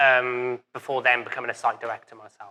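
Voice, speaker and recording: A man is speaking. He has a Welsh accent. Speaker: business owner, café and burger restaurant. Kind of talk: live interview. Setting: event with live audience.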